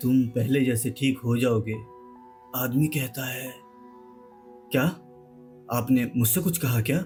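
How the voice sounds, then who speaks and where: A man with fairly even intonation and long, frequent pauses, music playing behind him. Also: medium pitch for a man. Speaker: horror storyteller. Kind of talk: horror story narration.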